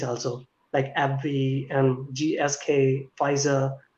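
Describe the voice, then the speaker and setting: A man is talking in a somewhat breathy voice. His pitch sits fairly high. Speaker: PhD student in pharmacy. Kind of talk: online panel interview.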